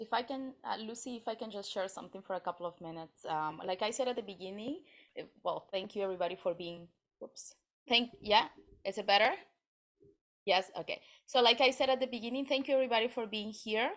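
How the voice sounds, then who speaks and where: Speaking very fast, a woman with a fairly high pitch and ordinary pitch variation swings widely in loudness. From Peru. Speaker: network marketer. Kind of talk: online meeting discussion.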